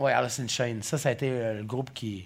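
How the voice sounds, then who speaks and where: Moving at a moderate pace, the man speaks with ordinary pitch variation. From Gaspésie. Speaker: podcast host. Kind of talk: casual chat.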